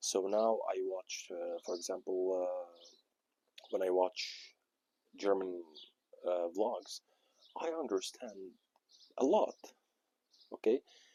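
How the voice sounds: A man with an Arabic accent speaks slowly at a low pitch, his dark, mellow tone carrying a slightly husky edge, with long, frequent pauses in a dry, close sound with no echo. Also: ordinary pitch variation.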